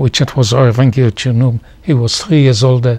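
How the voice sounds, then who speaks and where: Speaking at a moderate pace, a man with a medium-pitched, somewhat breathy voice keeps his intonation fairly even. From Poland. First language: Polish or Yiddish. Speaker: Holocaust survivor. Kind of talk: oral history interview. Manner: halting.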